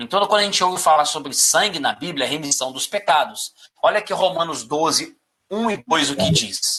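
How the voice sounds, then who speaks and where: Pitched high for a man, his voice moves with lively intonation at a moderate pace. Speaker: Bible study teacher. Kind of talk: interactive Bible study.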